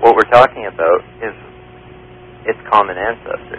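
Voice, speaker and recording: The sound is dry and close with no echo, though noticeable background noise is present. A man of medium pitch talks at a moderate pace with ordinary pitch variation. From Canada. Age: young. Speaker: evolution graduate student. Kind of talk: radio call-in debate. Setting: phone line.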